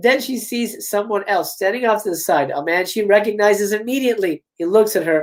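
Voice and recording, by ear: A quiet backdrop behind natural-voiced reading aloud, pitch varying in an ordinary way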